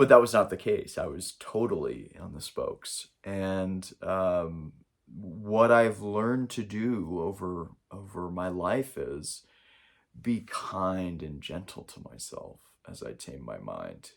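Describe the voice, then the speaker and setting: Speaking very slowly with an American accent, a man shows big swings in loudness. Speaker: spiritual coach. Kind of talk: spiritual talk to camera. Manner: halting, with many fillers.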